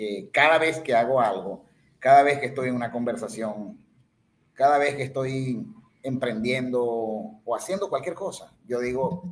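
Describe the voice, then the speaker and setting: With lively intonation, an unremarkable speaking voice goes along at a moderate pace. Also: man. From Venezuela, Ciudad Bolívar. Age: 50s. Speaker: podcast guest. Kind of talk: casual chat.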